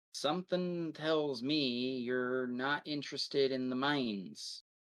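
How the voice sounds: Putting on a gruff character voice at medium pitch, a man speaks at a fairly slow pace.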